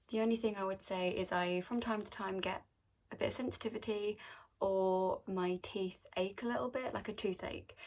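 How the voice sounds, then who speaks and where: Fairly even intonation at a moderate pace, with an English accent. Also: woman. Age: adult. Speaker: vlogger. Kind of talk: casual Q&A vlog. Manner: casual, chatty.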